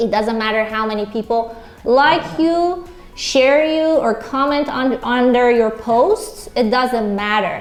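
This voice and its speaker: A woman with a Persian accent speaks at a fairly slow pace in a high pitch with lively intonation. Noticeable background noise and audible room echo surround her voice. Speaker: real estate agent, guest speaker. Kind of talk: onstage interview.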